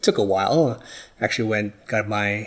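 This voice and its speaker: Here a man speaks with an American accent and a fairly low pitch. His intonation is monotone and flat, at a fairly slow pace. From New York. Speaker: dentist and first-time founder. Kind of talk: interview. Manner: halting.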